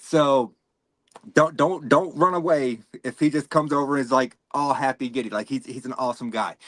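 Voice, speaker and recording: A man with a Southern US accent speaks at a fairly quick pace and a fairly high pitch. His pitch varies in an ordinary way, and the sound is dry and close with no echo. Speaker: podcast host. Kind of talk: podcast interview. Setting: video podcast. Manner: fast when nervous.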